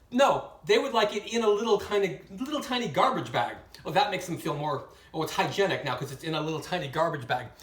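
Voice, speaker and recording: The voice is animated and races at a very fast pace. Background noise is noticeable throughout. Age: 60s. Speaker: hotel night worker. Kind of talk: casual storytelling monologue.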